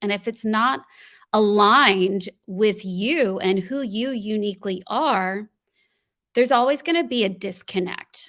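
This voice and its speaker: A woman speaks in a normal speaking voice, fairly high in pitch, with lively intonation at a fairly slow pace. The recording is very clean, with a silent background. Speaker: voiceover artist and voice coach. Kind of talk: podcast interview answer.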